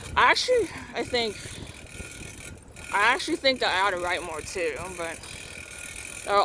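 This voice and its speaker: Noticeable background noise sits behind a woman with a medium-pitched voice who talks at a fairly quick pace with lively intonation and long, frequent pauses. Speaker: vlogger. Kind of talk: casual vlog monologue. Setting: outdoors on a tricycle.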